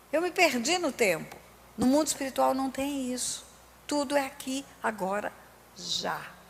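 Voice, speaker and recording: This woman's voice is high-pitched, with lively intonation. She talks at a fairly slow pace, leaving long, frequent pauses. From Brazil, Resende (Rio de Janeiro state). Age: 60s. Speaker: pastor. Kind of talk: sermon.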